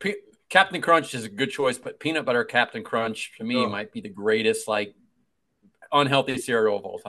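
With an American accent, a man talks at a medium pitch in a bright, sharp tone. His voice moves through very wide pitch swings and big swings in loudness. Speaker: podcast co-host. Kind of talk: casual chat. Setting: video call.

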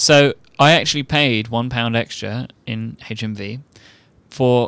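Medium-pitched speech from a man in an English accent, fairly slow, with ordinary pitch variation and a dry, close sound with no echo. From England. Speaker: podcast co-host. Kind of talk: casual chat. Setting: remote recording.

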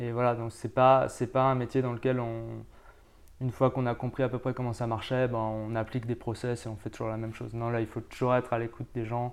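A man's medium-pitched voice, fairly quick in pace, with monotone, flat intonation. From France. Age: 30s. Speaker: volcanologist. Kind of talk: interview.

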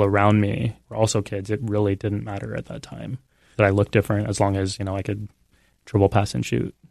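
An unremarkable speaking voice, a man with an American accent, fairly low in pitch, with ordinary pitch variation, dry, close sound with no echo and a quiet background. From Texas, San Antonio. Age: 30s. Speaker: professor of religion. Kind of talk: interview. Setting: studio.

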